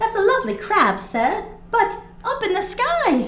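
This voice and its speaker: A woman puts on a squeaky character voice at an extremely high pitch. She speaks at a moderate pace with very wide pitch swings. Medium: read story. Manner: eager.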